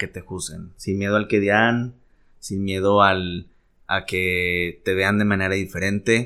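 Bright and sharp in tone, a man's fairly low voice moves at a very slow pace in a very clean recording with a silent background. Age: 30s. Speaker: podcast host. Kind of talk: casual chat.

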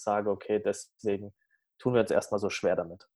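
At a moderate pace, a man talks, the recording very clean and the background silent. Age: 30s. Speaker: coach and speaker. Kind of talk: interview. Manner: halting, many fillers.

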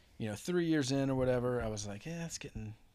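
A man's voice with ordinary pitch variation. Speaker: guest, former brewery coworker. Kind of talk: casual chat. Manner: joking, bantering.

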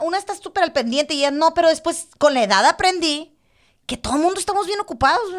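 A woman at a very fast pace with lively intonation. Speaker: podcast co-host. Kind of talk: casual chat. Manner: animated.

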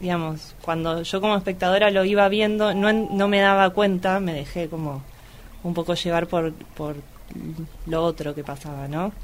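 A woman at a medium pitch speaks with fairly even intonation at a moderate pace. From Argentina, Luján (Buenos Aires province). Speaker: photographer and activist. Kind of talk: casual film discussion.

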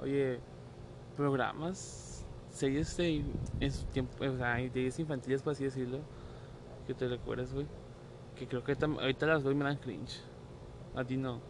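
A man with a Mexican accent speaks at a fairly slow pace with monotone, flat intonation. Long, frequent pauses break up his speech. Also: medium pitch for a man. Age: 20s. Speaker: podcast co-host. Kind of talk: casual chat.

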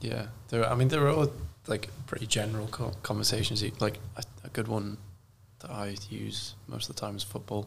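A man with a fairly low pitch and vocal fry speaks at a moderate pace. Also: fairly even intonation. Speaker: podcast co-host. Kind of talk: casual chat.

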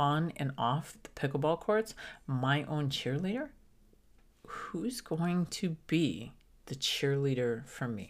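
On a very clean recording with a silent background, a woman speaks at a very slow pace with lively intonation and a very deep, low pitch. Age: 50s. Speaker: pickleball coach and former golf professional. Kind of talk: casual chat.

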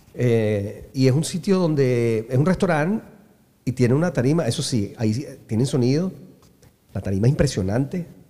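Speaking in a Venezuelan accent, a man of medium pitch has a dark, mellow tone and lively intonation at a moderate pace. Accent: Venezuelan, San Antonio. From Venezuela, San Antonio de los Altos. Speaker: musician. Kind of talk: casual chat.

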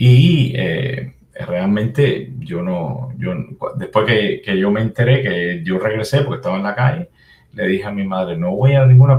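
Speaking with a Cuban accent, a man has a medium pitch, a somewhat breathy, dark, mellow tone and lively intonation. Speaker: computer programmer and activist. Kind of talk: interview. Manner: halting.

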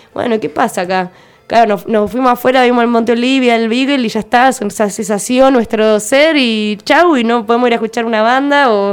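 A woman talks in an ordinary speaking voice. Her pitch is fairly high, with ordinary pitch variation. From Argentina, Tierra del Fuego (Ushuaia). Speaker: visual artist and musician. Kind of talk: radio interview.

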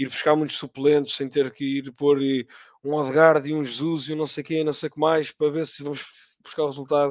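Against a quiet background, a man with a plain, everyday voice talks at a fairly quick pace and a fairly high pitch. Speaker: football podcast panelist. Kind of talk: casual chat.

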